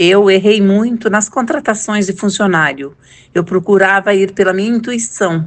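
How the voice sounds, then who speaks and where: At a moderate pace and medium pitch, a woman talks in an ordinary speaking voice with ordinary pitch variation. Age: 60s. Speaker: former business owner. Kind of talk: testimony.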